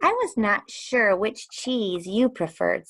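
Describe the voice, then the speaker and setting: A put-on, squeaky character voice sounds female, pitched fairly high for a woman and delivered at a fairly slow pace. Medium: read story. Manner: polite, gracious.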